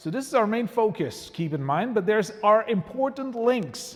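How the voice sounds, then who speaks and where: This man speaks with a slight French Canadian accent and lively intonation. His pace is moderate. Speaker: museum historian. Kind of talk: public lecture. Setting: church with live audience. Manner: hesitant, many fillers.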